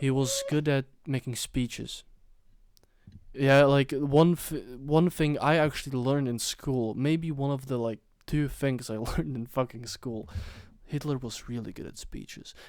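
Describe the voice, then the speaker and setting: Using a normal speaking voice, a man talks at a moderate pace in a fairly high pitch, with fairly even intonation and big swings in loudness. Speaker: podcast host. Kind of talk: casual chat.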